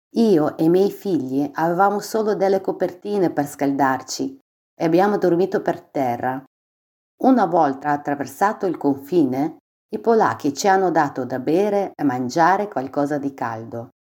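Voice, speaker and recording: Heard in a very clean recording over a silent background, a woman speaks at a fairly low pitch with a dark, mellow tone and lively intonation. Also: moderate pace. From Ukraine, Dnipro. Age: 40s. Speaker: refugee. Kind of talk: testimony.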